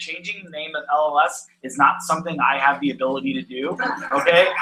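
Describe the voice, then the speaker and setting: The voice is raised and projected, with a bright, sharp tone. It moves at a fairly quick pace. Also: man. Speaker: patient services social worker. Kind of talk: conference talk. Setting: stage with audience.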